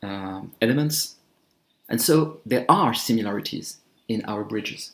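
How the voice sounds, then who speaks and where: There is vocal fry in this man's voice, which carries a strong French accent. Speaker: amateur electronic music maker, YouTuber. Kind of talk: casual vlog monologue. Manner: halting.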